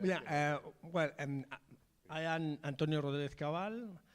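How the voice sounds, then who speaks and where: A man speaks with a Spanish accent. His fairly high voice moves at a fairly slow pace. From Madrid, Spain. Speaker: film director. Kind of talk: panel discussion.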